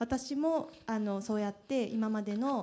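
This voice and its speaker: A woman's fairly high voice with ordinary pitch variation and a dark, mellow tone. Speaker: prefectural assembly member; panelist. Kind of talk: panel discussion. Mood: polite, grateful. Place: hall. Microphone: handheld.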